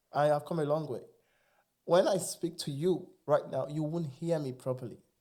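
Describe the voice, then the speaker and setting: A man with a Nigerian accent speaks in a high pitch with an animated tone, ordinary pitch variation and a moderate pace, in a very clean recording with a silent background. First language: Igbo. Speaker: immigrant sharing experiences. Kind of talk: casual interview chat.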